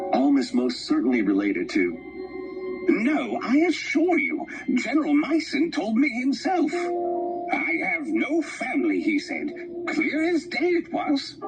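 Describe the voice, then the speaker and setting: Over loud music in the background, a man does a put-on character voice at a fairly slow pace. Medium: video game. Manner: measured, formal.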